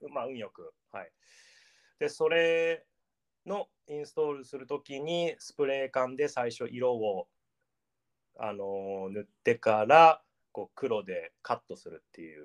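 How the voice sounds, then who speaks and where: A man's lively intonation and big swings in loudness, broken by long, frequent pauses, in a dry, close sound with no echo. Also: fairly high pitch for a man, fairly slow pace. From Japan, Gifu Prefecture. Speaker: artist. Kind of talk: casual interview.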